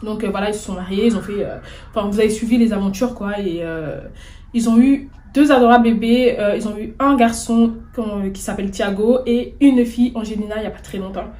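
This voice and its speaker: In a room with audible echo, a woman talks at a fairly quick pace in a fairly high voice. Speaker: YouTuber, celebrity news commentator. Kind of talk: casual vlog commentary. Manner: stammering, hesitant; animated, indignant.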